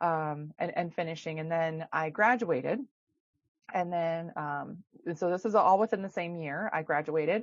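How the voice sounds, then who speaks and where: A woman in a Minnesotan accent, fairly low-pitched, at a moderate pace with ordinary pitch variation. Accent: Minnesota. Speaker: chiropractor and women's health expert. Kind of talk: podcast interview. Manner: casual, many fillers.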